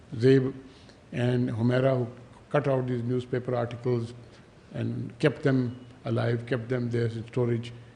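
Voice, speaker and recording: A man with a medium pitch speaks at a fairly slow pace in a dark, mellow, somewhat breathy tone, with monotone, flat intonation and long, frequent pauses. Audible room echo surrounds his voice. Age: 70s. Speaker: author. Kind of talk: speech. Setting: stage with audience.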